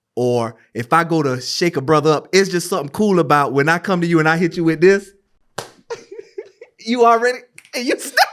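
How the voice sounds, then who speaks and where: In an animated tone, a man with an American accent speaks at a fairly quick pace and a high pitch, leaving long, frequent pauses. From US South, Gullah Geechee region. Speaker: podcast host. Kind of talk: casual conversation.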